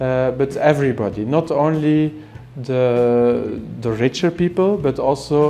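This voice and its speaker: Through noticeable background noise, a man speaks with a fairly high pitch and ordinary pitch variation. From Belgium. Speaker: ophthalmologist and eye surgeon. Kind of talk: interview answer. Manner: soft-spoken.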